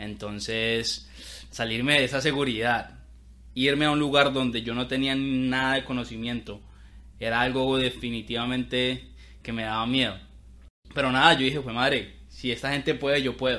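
A man speaks in a bright, sharp tone at medium pitch. His pace is moderate and his intonation monotone and flat. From Colombia (Bogotá). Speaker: podcast host, entrepreneur. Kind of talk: casual chat.

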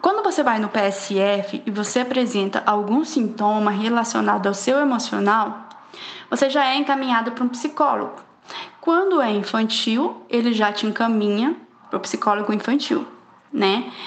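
Noticeable background noise sits behind a woman with a fairly high pitch and very even loudness. She keeps a moderate pace and ordinary pitch variation. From Poconé, Mato Grosso, Brazil. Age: 20s. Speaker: psychologist. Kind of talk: podcast interview.

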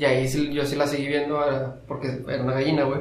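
With a Mexican accent, a man speaks very fast at a fairly high pitch in a monotone, flat intonation, with audible room echo and noticeable background noise. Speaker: podcast co-host. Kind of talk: casual chat.

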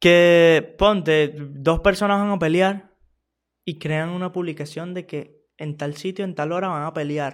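Fairly even intonation comes at a fairly slow pace in a very clean recording with a silent background. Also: man, high pitch for a man. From Venezuela, small town. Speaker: podcaster. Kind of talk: casual monologue.

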